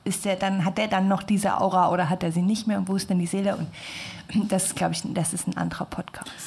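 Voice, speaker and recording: A woman talks at a fairly quick pace in a somewhat breathy voice of medium pitch. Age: 20s. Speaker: design student. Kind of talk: casual chat. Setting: studio.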